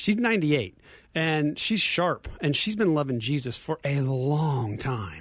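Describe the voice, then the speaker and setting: A somewhat breathy voice ranges through very wide pitch swings against a quiet background. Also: man. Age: 50s. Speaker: ministry leader. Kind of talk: radio interview. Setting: studio.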